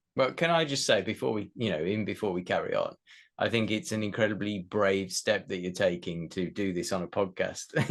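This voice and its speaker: This man has an unremarkable speaking voice with a fairly low pitch. He talks at a moderate pace against a quiet background. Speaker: podcast host. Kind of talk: podcast interview questions.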